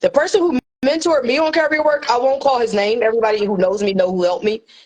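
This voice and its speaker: A woman talks very fast at a high pitch, her intonation lively. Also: very even loudness. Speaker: courier business mentor. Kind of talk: live stream tutorial. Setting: livestream with co-host.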